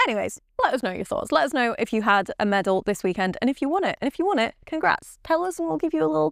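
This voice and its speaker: At a very fast pace with hardly any pauses, a woman talks in a high pitch with very wide pitch swings, recorded with a dry, close sound and no echo. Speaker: podcast co-host, golfer. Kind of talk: casual chat.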